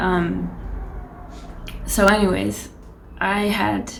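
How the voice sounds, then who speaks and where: A woman speaks softly. Noticeable background noise is present. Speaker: aspiring illustrator. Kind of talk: casual talk to camera. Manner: soft-spoken.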